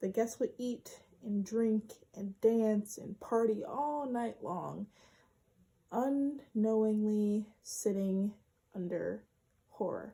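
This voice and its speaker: Speaking at a very slow pace, a woman uses fairly even intonation and a fairly high pitch, her tone dark and mellow and somewhat breathy. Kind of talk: informative speech presentation.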